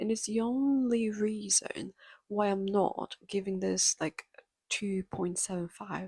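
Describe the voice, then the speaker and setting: A woman with a non-native accent talks at a medium pitch. The sound is dry and close with no echo, in a very clean recording with a silent background. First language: not English. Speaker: book reviewer. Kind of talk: casual chat.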